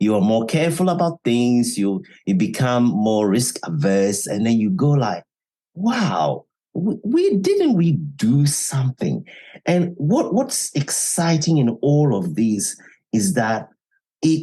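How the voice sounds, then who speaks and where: A man talks at a very slow pace with a fairly high pitch and very wide pitch swings. His voice has a dark, mellow tone and is somewhat breathy. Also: very even loudness. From Ghana. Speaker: author and former radio journalist. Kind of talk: podcast interview.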